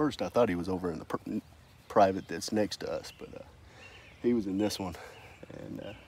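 A man with a fairly low pitch and ordinary pitch variation speaks at a moderate pace with big swings in loudness, the sound dry with no echo over light background noise. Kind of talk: casual hunting vlog talk. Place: open country.

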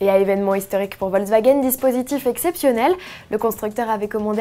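Her pitch sits fairly high for a woman. She talks at a fairly quick clip. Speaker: video news presenter. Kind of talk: formal news reading, scripted bulletin. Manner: formal, steady, brisk newsreader delivery; even, polished, informative tone.

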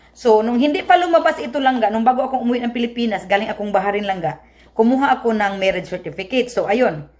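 Over noticeable background noise, a woman speaks with a Visayan accent at a fairly high pitch. Her intonation is lively and her pace very fast. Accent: Visayan accent in Tagalog. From Visayas, Philippines. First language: Cebuano (speaking Tagalog). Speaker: vlogger. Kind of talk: casual vlog explanation. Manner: halting.

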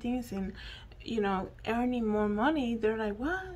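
In a Spanish accent, a woman talks at a moderate pace. Her voice is fairly high-pitched and somewhat breathy. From Dominican Republic. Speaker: YouTuber and podcaster. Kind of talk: solo news commentary monologue. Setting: at home. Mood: earnest, reflective. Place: home room. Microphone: handheld.

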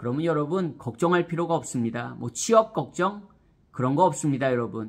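A man at a moderate pace, animated in tone, with very wide pitch swings, against a quiet background. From South Korea. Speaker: education YouTuber; vlogger giving career advice. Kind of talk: vlog monologue to camera. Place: home room. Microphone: phone near.

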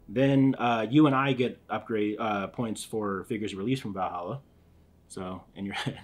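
A man with an American accent speaks in a normal speaking voice at fairly low pitch. His pace is moderate and his pitch variation ordinary. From US Northeast, Philadelphia. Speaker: board game channel host. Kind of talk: casual chat while teaching a board game.

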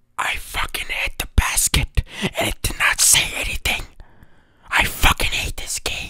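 Someone whispers at a fairly slow pace in a dry sound with no echo. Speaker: ASMR creator. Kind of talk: casual whispered ASMR chat. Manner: frustrated close-mic whisper. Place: home room. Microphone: studio mic.

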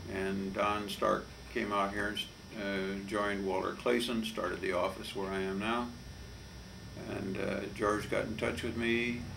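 Over noticeable background noise, a man talks at a moderate pace with a fairly low pitch and fairly even intonation. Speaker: lawyer giving oral history. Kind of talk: interview answer. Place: office.

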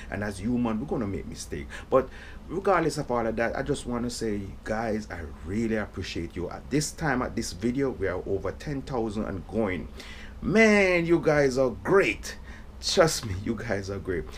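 Medium pitch from a man, with vocal fry, very wide pitch swings, a moderate pace and light background noise. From Jamaica. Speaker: reggae drummer, YouTuber; YouTuber. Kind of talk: casual thank-you message to viewers. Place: home room. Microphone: phone near.

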